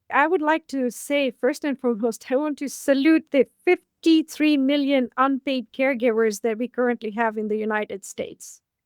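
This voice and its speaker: A woman's high-pitched voice at a moderate pace, with ordinary pitch variation and a dry, close sound with no echo. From Africa. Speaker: aging advocate. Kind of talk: interview. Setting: podcast interview.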